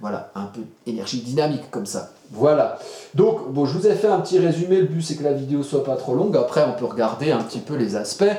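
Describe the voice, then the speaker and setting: Noticeable background noise and audible room echo surround a man with a fairly high pitch who talks at a fairly quick pace with lively intonation. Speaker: astrologer. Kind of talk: tutorial. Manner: fast; animated.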